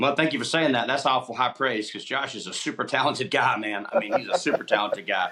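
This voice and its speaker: A man talks with an Alabama accent against noticeable background noise. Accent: Southern US (Alabama). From Opelika, Alabama. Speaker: country musician. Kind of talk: interview answer. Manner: casual, relaxed.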